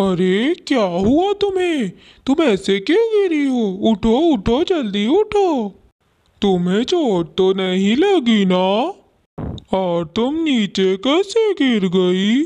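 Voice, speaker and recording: A cartoonish character voice sounds female and fairly high. It moves very slowly, with very wide pitch swings. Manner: smooth-talking, wheedling.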